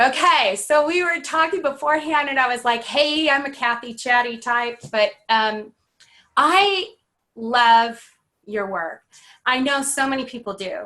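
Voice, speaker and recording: Raising and projecting her high voice, a woman speaks at a fairly slow pace. Her tone is bright and sharp, and her intonation is lively. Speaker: podcast host. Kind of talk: interview host talk. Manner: enthusiastic, chatty.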